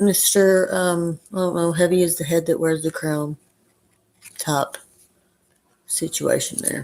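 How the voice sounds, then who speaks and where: In an Arkansas accent, a woman with a fairly low pitch speaks at a fairly slow pace with fairly even intonation and long, frequent pauses. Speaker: tarot reader. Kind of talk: live stream tarot reading. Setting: live stream.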